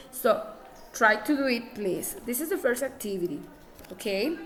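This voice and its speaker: A woman with a non-native accent speaks at a fairly slow pace with very wide pitch swings, against audible room echo and noticeable background noise. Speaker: English teacher. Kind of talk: classroom lesson. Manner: halting.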